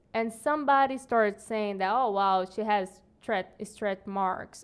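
A woman speaks with a Portuguese accent at a fairly high pitch. She talks at a fairly slow pace. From Brazil. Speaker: podcast guest. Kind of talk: casual chat.

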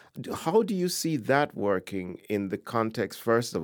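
The recording is very clean and the background silent. A man speaks at a moderate pace. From Jamaica (born in Ghana). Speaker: poet and professor. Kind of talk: interview conversation. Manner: halting, many repetitions.

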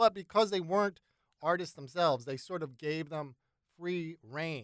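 In a plain, everyday voice, the speaker goes at a fairly quick pace with lively intonation, the sound dry and close with no echo. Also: man. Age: 50s. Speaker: songwriter and radio producer. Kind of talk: casual interview chat.

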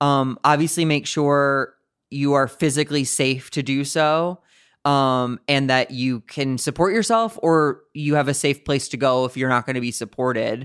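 A man speaks in an ordinary speaking voice with an American accent, at a moderate pace and a fairly high pitch with ordinary pitch variation. The recording is very clean, with a silent background. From US Midwest, St. Louis, Missouri. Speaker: comedian. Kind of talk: casual chat.

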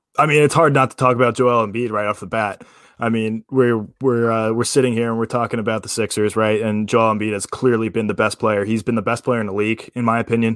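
A man at a very fast pace with hardly any pauses, medium pitch and monotone, flat intonation, in a very clean recording with a silent background. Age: 20s. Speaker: sports podcast co-host, college baseball player. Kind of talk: casual sports talk. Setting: live stream.

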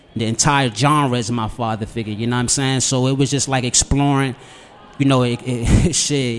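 A man's medium-pitched voice with an American accent over noticeable background noise. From Washington DC, south side. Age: 20s. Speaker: musician. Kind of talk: casual chat.

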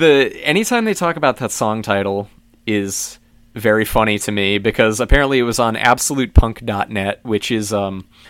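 In a very clean recording with a silent background, a man with a plain, everyday voice speaks at a moderate pace and medium pitch with ordinary pitch variation. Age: 20s. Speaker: drummer. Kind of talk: casual chat.

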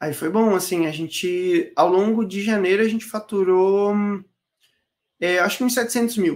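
Speech at a fairly slow pace, with long, frequent pauses, sits in a very clean recording with a silent background. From Florianópolis, Santa Catarina, Brazil. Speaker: digital launch strategist. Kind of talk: casual interview.

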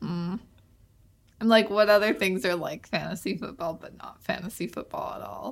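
Animated in tone, a woman with a Canadian accent uses vocal fry, very wide pitch swings and big swings in loudness. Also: medium pitch for a woman, moderate pace. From Canada. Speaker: podcast host. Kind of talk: casual chat. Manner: animated, joking.

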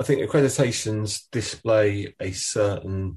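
A man with an Essex accent speaks at a fairly low pitch, his voice somewhat breathy. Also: quiet background. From Essex, England. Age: 40s. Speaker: podcast host, agency owner. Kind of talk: interview.

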